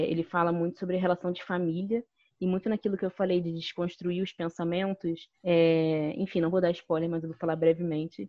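Her pitch fairly low, a woman talks at a moderate pace with fairly even intonation. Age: 20s. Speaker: journalism student. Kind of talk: casual interview. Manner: hesitant, many fillers.

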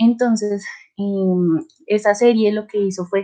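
In a Colombian accent, a woman speaks at a medium pitch with ordinary pitch variation. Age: 20s. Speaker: journalism student. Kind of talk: casual chat.

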